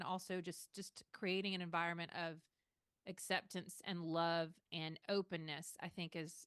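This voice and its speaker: A woman in a Southern US accent speaks at medium pitch with a bright, sharp tone and fairly even intonation. Her fairly slow delivery has a dry, close sound with no echo. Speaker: podcast co-host, social worker. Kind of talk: podcast discussion.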